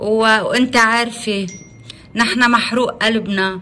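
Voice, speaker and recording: In a Lebanese accent, a woman talks with monotone, flat intonation. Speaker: journalist, editor-in-chief. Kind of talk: interviewer on phone. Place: home room. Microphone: phone near.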